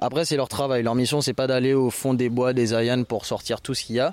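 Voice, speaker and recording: A man with an unremarkable speaking voice keeps up a fairly quick pace. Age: 20s. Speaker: volunteer association founder. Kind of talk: interview; briefing volunteers. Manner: loud.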